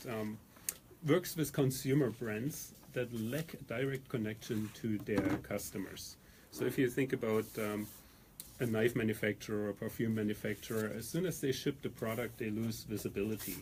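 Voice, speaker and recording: Spoken in a German accent, the voice moves at a moderate pace with ordinary pitch variation. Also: man. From Germany. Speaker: company founder and CEO. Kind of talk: radio interview. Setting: radio studio.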